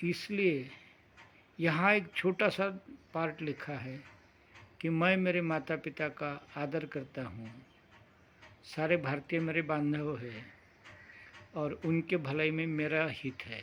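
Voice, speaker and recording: A man speaks at a fairly high pitch with ordinary pitch variation. He leaves long, frequent pauses. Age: 60s. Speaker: meditation teacher. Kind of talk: talk on meditation program.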